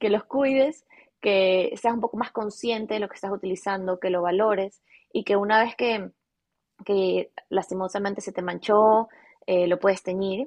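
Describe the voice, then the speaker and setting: This woman has a normal speaking voice, a medium pitch and fairly even intonation. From Ecuador, Guayaquil. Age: 20s. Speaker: fashion business owner. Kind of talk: interview.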